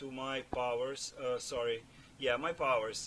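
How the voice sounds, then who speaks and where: Against noticeable background noise, a man with a non-native accent talks at a medium pitch with fairly even intonation. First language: not English. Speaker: gaming video creator. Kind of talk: gameplay build commentary. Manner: halting, many fillers and repeats. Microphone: cheap non-professional microphone, audible breathing.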